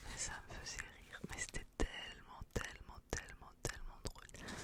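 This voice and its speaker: A woman is whispering. She speaks at a very slow pace. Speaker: ASMR creator. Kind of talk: ASMR whispered talk. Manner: whispered.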